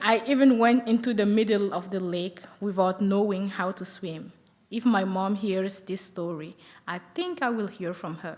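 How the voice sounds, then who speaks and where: Noticeable background noise accompanies speech at a moderate pace with ordinary pitch variation and big swings in loudness. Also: woman, medium pitch for a woman. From Burkina Faso. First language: French. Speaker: college student. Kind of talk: prepared speech.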